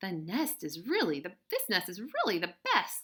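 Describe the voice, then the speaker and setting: A female-sounding voice does a put-on character at a medium pitch and a moderate pace. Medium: read story.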